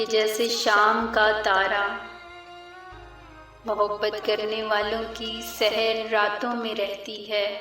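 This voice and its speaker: Over music in the background, a woman with a fairly high pitch speaks in a monotone, flat intonation. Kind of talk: poetry reading.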